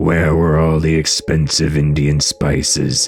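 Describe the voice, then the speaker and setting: Putting on a character voice, a man speaks at a fairly slow pace with very deep, low pitch over clear background noise. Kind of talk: dramatic legend narration. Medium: read story. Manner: dramatic, suspenseful.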